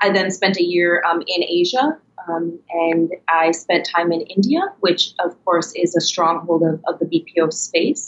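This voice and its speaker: A woman with an American accent speaks in a plain, everyday voice, fairly low in pitch, at a fairly slow pace with fairly even intonation. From Minnesota, US. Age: 30s. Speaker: startup co-founder. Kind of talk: interview.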